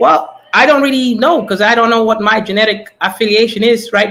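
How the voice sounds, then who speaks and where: A man's raised, projected voice at a high pitch and a fairly quick pace. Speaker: caller on a livestream panel. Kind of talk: casual chat.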